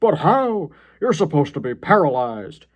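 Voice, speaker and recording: A man puts on a character voice at a fairly high pitch. His pitch swings very widely. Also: moderate pace. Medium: read story.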